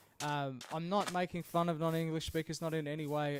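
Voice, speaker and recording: This man has an Australian accent and a fairly high pitch. He keeps his intonation fairly even and his pace moderate. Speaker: video game streamer. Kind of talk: casual live stream chat. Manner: halting, many fillers.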